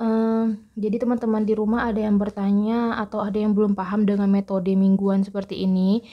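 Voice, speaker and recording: A woman speaks softly at a fairly quick pace, her pitch in the middle range. Her tone is dark and mellow. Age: 20s. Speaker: personal finance vlogger. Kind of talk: casual vlog tutorial. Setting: recording at home in a bedroom. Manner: soft-spoken; halting.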